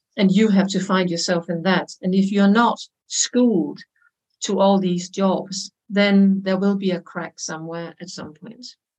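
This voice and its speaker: Spoken with a Danish accent at a fairly slow pace, the somewhat breathy voice keeps a fairly even intonation while its loudness swings widely. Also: woman, medium pitch for a woman. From Denmark. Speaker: consultant and language teacher. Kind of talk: casual interview.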